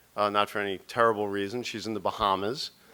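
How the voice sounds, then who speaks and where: A man speaks with an American accent at a fairly quick pace. His fairly low voice has a bright, sharp tone. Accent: New York, strong when speaking publicly. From New York. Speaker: documentary producer and charity board chair. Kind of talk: speech. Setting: stage with audience. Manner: halting, repeats words.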